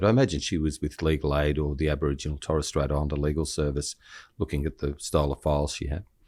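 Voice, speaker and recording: Talking at a very fast pace with an Australian accent, a man with a very deep, low pitch and vocal fry is heard on a very clean recording with a silent background. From Australia, Shellharbour NSW. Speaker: criminal lawyer and podcast host. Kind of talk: casual chat. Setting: stage with audience.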